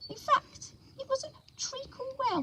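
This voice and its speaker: This is a put-on character voice, squeaky in sound. It moves at a moderate pace. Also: woman, extremely high pitch for a woman. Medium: read story. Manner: sleepy, slow.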